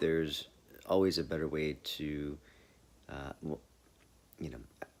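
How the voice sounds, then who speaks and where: This man has a very deep, low voice. He keeps a moderate pace with fairly even intonation. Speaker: life coach and hypnotherapist. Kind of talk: casual vlog monologue. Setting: handheld camera selfie video. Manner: hesitant, many fillers.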